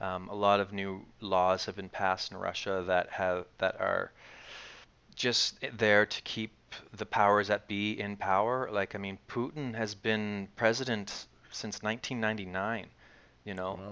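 A man with a Maritimes accent speaks at a fairly slow pace in a fairly low pitch. His tone is bright and sharp, his intonation monotone and flat, and the background quiet. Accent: Canadian English (Maritimes). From Canada, Nova Scotia (Dartmouth). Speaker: actor and acting teacher. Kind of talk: casual interview chat.

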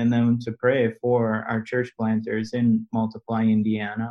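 A man with an American accent talks at a fairly slow pace in an unremarkable speaking voice of medium pitch. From US Midwest, Milwaukee. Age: 40s. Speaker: ministry network president and businessman. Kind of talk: interview conversation.

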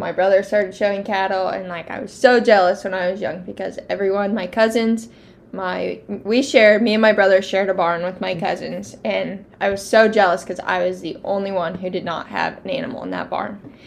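A woman with a Midwestern US accent, medium pitch, vocal fry, fairly even intonation and a fairly quick pace. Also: hardly any pauses, big swings in loudness. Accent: US Midwest. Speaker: youth livestock exhibitor. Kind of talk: casual interview.

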